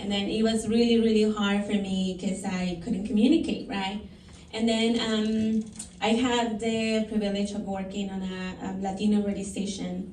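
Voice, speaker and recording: A woman with a Spanish accent at a medium pitch, in a monotone, flat intonation at a moderate pace, with audible room echo. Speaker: counselor. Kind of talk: panel testimony. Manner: halting, many fillers.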